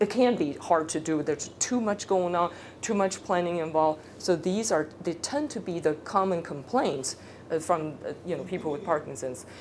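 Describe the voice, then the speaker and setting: A woman with a fairly low pitch talks at a moderate pace with ordinary pitch variation, and audible room echo surrounds her. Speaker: speech therapist. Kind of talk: lecture. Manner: casual.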